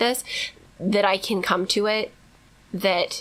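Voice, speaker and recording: Speaking at medium pitch with fairly even intonation, a woman is heard against noticeable background noise. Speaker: podcast co-host. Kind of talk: casual chat. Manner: fast; loud.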